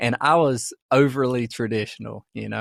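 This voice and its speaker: A man with an American accent at a moderate pace, dry and close with no echo, on a very clean recording with a silent background. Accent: Southern, toned down over the years. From US South, rural farm. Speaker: podcast co-host. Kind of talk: casual chat.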